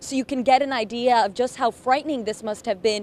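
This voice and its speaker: With fairly even intonation and a moderate pace, a woman speaks at a fairly high pitch in an unremarkable speaking voice. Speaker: TV news reporter and anchor. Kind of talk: TV news live field report.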